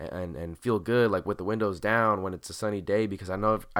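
A very fast-talking man with a fairly low pitch and ordinary pitch variation, on a very clean recording with a silent background. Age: 20s. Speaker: podcast host. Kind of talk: solo late-night monologue. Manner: relaxed, casual.

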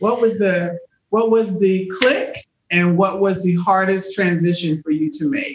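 Speaking at a fairly slow pace, a woman has an unremarkable speaking voice of medium pitch with ordinary pitch variation. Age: 50s. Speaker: podcast host. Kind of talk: interview.

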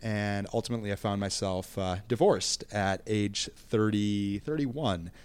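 At a moderate pace with hardly any pauses, a man with an American accent and an ordinary speaking voice talks in a fairly low pitch with ordinary pitch variation, captured in a very clean recording with a silent background. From Minnesota. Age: 30s. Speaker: podcast guest. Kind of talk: casual interview.

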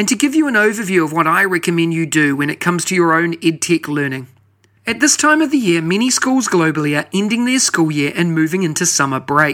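This man speaks fairly quickly with a New Zealand accent, his pitch high. His tone is bright and sharp, and his intonation is lively. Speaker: podcast host. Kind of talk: podcast hosting, scripted intro and interview.

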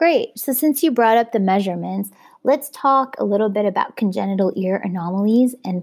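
A woman with a plain, everyday voice at medium pitch is heard on a very clean recording with a silent background. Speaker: plastic surgery resident doctor. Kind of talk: educational exam review. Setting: podcast studio.

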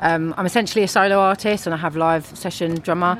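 With a London accent, a woman speaks very fast in a fairly low pitch and fairly even intonation. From London, England. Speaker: musician. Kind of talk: casual chat. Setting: outdoors.

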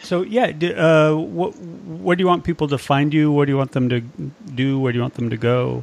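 A man's fairly high voice, a plain, everyday voice, with lively intonation, a moderate pace and hardly any pauses against a quiet background. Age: 50s. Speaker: podcast co-host in recovery. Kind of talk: casual chat. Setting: remote call.

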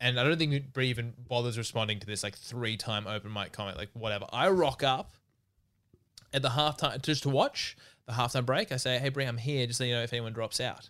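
A man with an ordinary speaking voice and a medium pitch speaks fairly quickly, his pitch varying in an ordinary way. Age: 20s. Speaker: podcast co-host and comedian. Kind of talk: casual chat.

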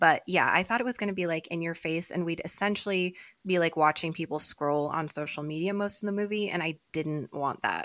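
On a very clean recording with a silent background, a woman with a plain, everyday voice talks fairly quickly at a fairly low pitch with ordinary pitch variation. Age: 30s. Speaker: podcast co-host. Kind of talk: casual chat.

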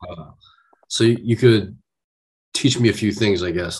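A man with a fairly low pitch speaks in a somewhat breathy voice. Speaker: guest, aspiring music artist. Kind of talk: casual interview chat.

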